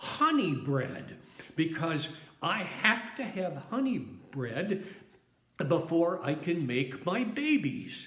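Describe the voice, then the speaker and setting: A put-on character voice at a middle pitch, very slow, with audible echo. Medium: solo performance. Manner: imperious, fussy.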